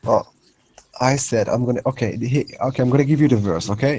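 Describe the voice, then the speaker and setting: A man with an Arabic accent, medium pitch, ordinary pitch variation and a fairly quick pace. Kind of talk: heated debate. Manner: animated, interrupting; halting, repetitive.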